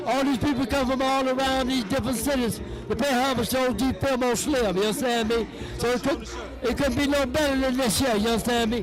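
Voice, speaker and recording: Noticeable background noise and audible room echo accompany the clip. A man with an extremely high pitch speaks at a fairly quick pace. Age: 70s. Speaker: veteran street figure. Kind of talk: birthday shout-out to camera. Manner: animated.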